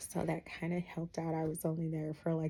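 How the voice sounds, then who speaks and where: A woman's fairly low, somewhat breathy voice with a dark, mellow tone, a fairly quick pace and monotone, flat intonation. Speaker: vlogger. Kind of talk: casual vlog monologue.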